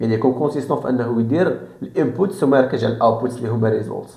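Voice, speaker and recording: Fairly even intonation marks this man's speech. He talks at a very fast pace. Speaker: self-improvement YouTuber. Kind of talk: casual talk to camera.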